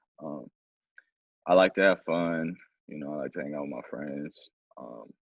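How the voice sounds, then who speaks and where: This man's voice sits very deep and low, with vocal fry running through it. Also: ordinary pitch variation, moderate pace, big swings in loudness. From Mexico, raised in Oakland California from age eight. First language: Spanish. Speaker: young man in mentoring program. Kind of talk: casual conversation.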